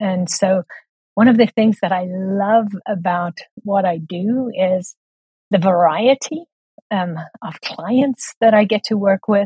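Somewhat breathy and at a very slow pace, a woman with a South African accent speaks at a medium pitch with ordinary pitch variation and long, frequent pauses. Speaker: book coach and editor. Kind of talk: casual interview chat.

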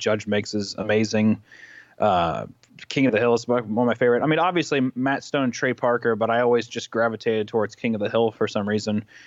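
A man with an American accent talks at a fairly quick pace with ordinary pitch variation. The background is quiet. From US Midwest, Kansas City, Missouri. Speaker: animator and YouTuber. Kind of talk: casual interview.

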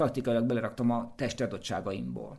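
This is a man talking. His pace is very fast. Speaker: race walker and runner, coach. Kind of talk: casual chat.

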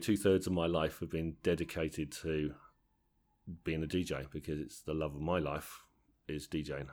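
A man with a southern English accent, very deep and low in pitch, at a fairly quick pace, in a very clean recording with a silent background. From southern England, Tadley area (Hampshire/Berkshire border). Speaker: wedding DJ and DJ trainer. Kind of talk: interview. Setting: at a convention. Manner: halting, repeats words.

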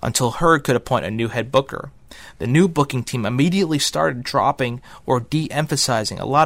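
An unremarkable speaking voice at a moderate pace. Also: man, very clean recording, silent background. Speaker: narrator of wrestling history. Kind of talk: scripted narration of wrestling history. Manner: steady, formal, documentary-style.

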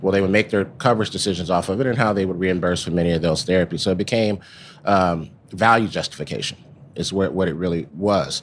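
Here a man speaks in a very deep, low voice with ordinary pitch variation. His pace is fairly quick. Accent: American. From Texas, Dallas. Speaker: pharmaceutical executive. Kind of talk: interview. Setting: live at a conference.

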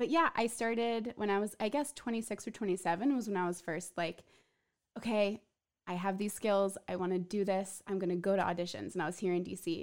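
Recorded very cleanly against a silent background, a woman talks at a fairly quick pace at a medium pitch with ordinary pitch variation. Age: 30s. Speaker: podcast host. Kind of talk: casual chat. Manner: animated.

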